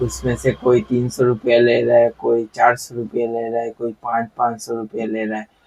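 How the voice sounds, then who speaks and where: A man of medium pitch speaks at a moderate pace with monotone, flat intonation, in a dry, close sound with no echo. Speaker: DIY electronics YouTuber. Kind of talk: tutorial. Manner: casual, conversational.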